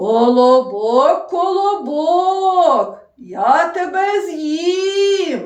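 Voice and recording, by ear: In a put-on character voice, the speaker talks loudly at an extremely high pitch and a very slow pace, with a slight echo.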